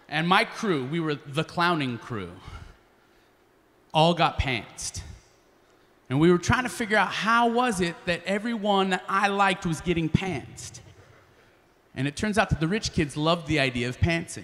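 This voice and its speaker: A man speaks in a high pitch with a bright, sharp tone and lively intonation. His pace is moderate, broken by long, frequent pauses. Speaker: spoken word artist and slam poet. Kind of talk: live storytelling performance. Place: stage. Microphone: handheld.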